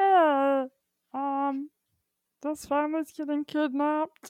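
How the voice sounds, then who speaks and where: Pitched high, a put-on character voice moves along at a fairly slow pace. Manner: goofy, silly.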